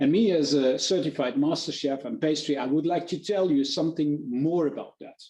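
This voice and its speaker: This man has a dark, mellow tone, a fairly high pitch and a German accent. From Germany. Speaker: chef. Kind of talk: webinar presentation. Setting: online webinar. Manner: halting, with fillers.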